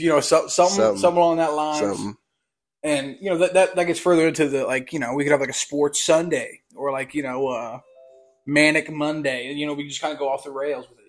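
Over music in the background, a man with a fairly high voice speaks at a fairly quick pace, his loudness swinging widely. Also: ordinary pitch variation. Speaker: podcast co-host. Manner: stutters; heavy use of fillers like "you know".

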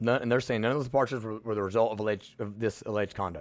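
The recording is very clean, with a silent background. A man with an American accent and a medium pitch talks at a very fast pace. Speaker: podcast host. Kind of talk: political commentary monologue. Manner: blunt, direct; casual, folksy.

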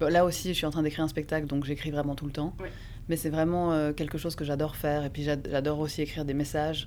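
At a very fast pace, a woman speaks with a very deep, low pitch and monotone, flat intonation. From Geneva area, French-speaking Switzerland. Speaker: actress and playwright. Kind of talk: casual interview.

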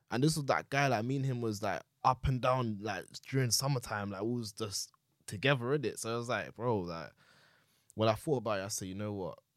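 Over a silent background in a very clean recording, a man speaks with a London accent at a fairly quick pace. His pitch is medium, with ordinary variation. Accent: Multicultural London English. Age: 20s. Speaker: podcast guest, young father. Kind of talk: casual chat. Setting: studio.

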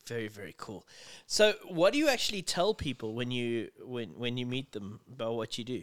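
A man's medium-pitched voice at a moderate pace, with lively intonation and big swings in loudness. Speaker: podcast host. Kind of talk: casual interview. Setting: at home.

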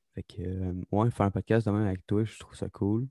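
On a very clean recording with a silent background and a dry, close sound with no echo, a man in a Quebec accent speaks at a moderate pace with a fairly low pitch, a dark, mellow tone and monotone, flat intonation. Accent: Québécois French. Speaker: podcast co-host, aspiring comedian. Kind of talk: casual chat.

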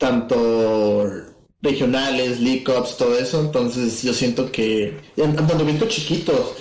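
A man with a Mexican accent speaks at medium pitch and a very slow pace, with fairly even intonation and very even loudness. Room echo is audible. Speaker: podcast co-host. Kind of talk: casual chat.

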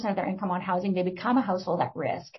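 A woman speaks in a passionate tone. Noticeable background noise is present. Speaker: executive director, social planning council. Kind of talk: panel discussion. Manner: fast talker, passionate.

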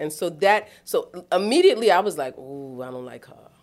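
A woman with a New York accent sounds animated, her intonation lively. She speaks at a moderate pace. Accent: New York City. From New York City, East Harlem. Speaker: boarding school dean of residential life. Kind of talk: casual interview.

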